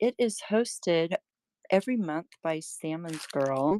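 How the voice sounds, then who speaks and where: Speaking very slowly with lively intonation, a woman has a dark, mellow tone at medium pitch, recorded with a dry, close sound and no echo. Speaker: online seller of handmade crafts. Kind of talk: live-stream sales show. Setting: live stream. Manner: casual, chatty.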